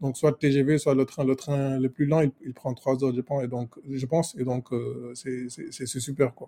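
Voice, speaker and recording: A man with a dark, mellow tone speaks somewhat breathily at a fairly slow pace and medium pitch, monotone and flat, with hardly any pauses in a dry, close sound with no echo. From Senegal. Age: 20s. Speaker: software engineer, travel guest. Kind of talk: casual chat. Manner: halting, many repetitions.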